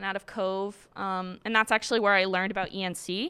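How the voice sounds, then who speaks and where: A woman talks with an American accent in a bright, sharp tone. The recording is very clean with a silent background. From Massachusetts (Quincy). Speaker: college student and dancer. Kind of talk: personal story. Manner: casual, filler-heavy.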